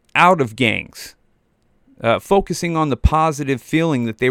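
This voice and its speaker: At a moderate pace, a man speaks in an animated tone with ordinary pitch variation. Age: 40s. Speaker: podcast host. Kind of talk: casual monologue.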